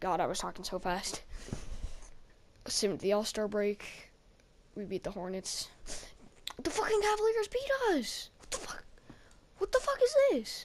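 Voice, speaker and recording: Her pitch swings very widely and her loudness rises and falls sharply. The woman leaves long, frequent pauses. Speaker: gaming YouTuber. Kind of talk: gameplay voice-over commentary. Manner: fast.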